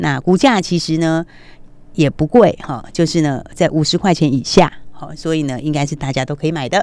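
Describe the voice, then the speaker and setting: A woman with a very deep, low pitch and an animated tone talks at a moderate pace with ordinary pitch variation, recorded very cleanly against a silent background. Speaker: stock market analyst. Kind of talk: radio stock market commentary.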